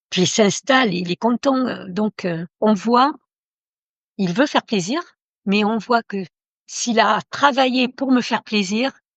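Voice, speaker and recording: Pausing long and often, a woman talks at a very slow pace, her fairly high pitch showing ordinary variation. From Italy. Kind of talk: interview. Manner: halting.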